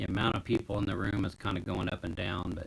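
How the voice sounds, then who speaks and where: Here a man talks at a fairly quick pace in a very deep, low voice that is somewhat breathy. His intonation is fairly even. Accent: American. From United States. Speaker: live streamer. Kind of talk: casual live stream chat. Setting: home, basement.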